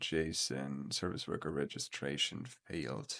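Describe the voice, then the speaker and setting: A man with a non-native accent at a fairly slow pace, his pitch varying in an ordinary way. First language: not English. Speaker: coding tutorial youtuber. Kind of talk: screen-recorded coding tutorial. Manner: hesitant, many filler words.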